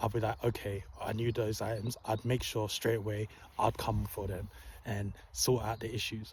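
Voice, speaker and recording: A man's voice with vocal fry and fairly even intonation. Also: fairly low pitch for a man, moderate pace. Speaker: wellness vlogger. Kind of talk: casual storytelling monologue. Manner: calm, soft-spoken.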